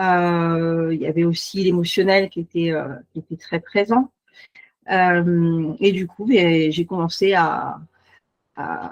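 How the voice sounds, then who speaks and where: Woman's fairly low voice with fairly even intonation and a dry, close sound with no echo. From Paris region, France. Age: 40s. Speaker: beautician and naturopath. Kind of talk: self-presentation in online meeting. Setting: video call. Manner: hesitant, many fillers.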